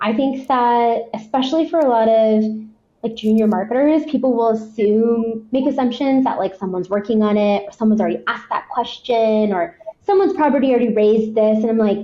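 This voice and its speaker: A woman with fairly high pitch talks at a fairly quick pace with very even loudness. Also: ordinary pitch variation. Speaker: head of marketing. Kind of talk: podcast interview. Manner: fast; high energy.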